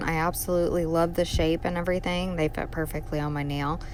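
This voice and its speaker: Quiet and fairly low in pitch, a woman speaks with fairly even intonation. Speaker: nail art youtuber. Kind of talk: tutorial. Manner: casual, chatty.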